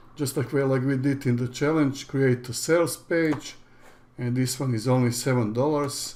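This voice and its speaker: Someone with a Croatian accent speaks at a moderate pace with fairly even intonation. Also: man, medium pitch for a man. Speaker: online business educator. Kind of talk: tutorial. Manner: halting.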